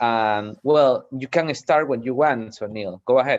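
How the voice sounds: A man at a fairly slow pace, medium in pitch, with ordinary pitch variation.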